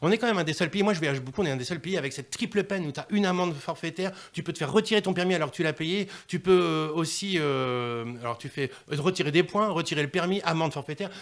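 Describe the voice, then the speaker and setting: Very fast and animated, the delivery has ordinary pitch variation on a very clean recording with a silent background. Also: man, high pitch for a man. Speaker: dub musician. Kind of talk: radio interview.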